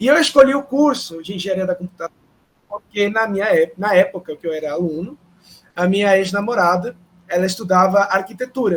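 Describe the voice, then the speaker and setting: A man with a Spanish accent speaks at a fairly quick pace in a high voice. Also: ordinary pitch variation. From Peru. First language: Spanish (speaking Portuguese). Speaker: professor. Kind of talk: panel talk. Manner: hesitant, many fillers.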